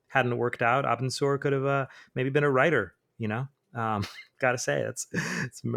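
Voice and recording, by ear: Intonation stays fairly even as the text is read aloud in a natural voice. Behind it, the background is quiet.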